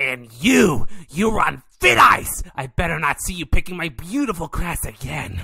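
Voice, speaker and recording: A raspy man's voice, high in pitch, moves at a fairly slow pace. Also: hardly any pauses. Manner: possessive, indignant, then sweetly friendly.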